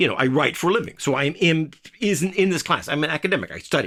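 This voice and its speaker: A man with an American accent talks at a very fast pace, his tone bright and sharp with vocal fry. The recording is very clean, with a silent background. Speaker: writer and political commentator. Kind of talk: casual monologue. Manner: halting, stumbling over words.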